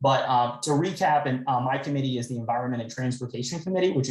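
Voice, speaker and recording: Talking very fast, the speaker has a somewhat breathy quality. Words come out in a rapid rush. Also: man. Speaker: state legislator. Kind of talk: town hall briefing.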